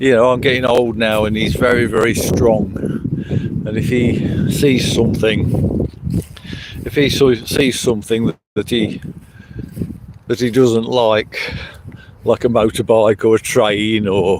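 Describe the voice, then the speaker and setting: Over noticeable background noise, a man with a medium pitch speaks at a fairly slow pace, with fairly even intonation and long, frequent pauses. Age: 70s. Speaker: livestreamer. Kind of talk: casual live stream chat. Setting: outdoors by a river. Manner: halting, with fillers.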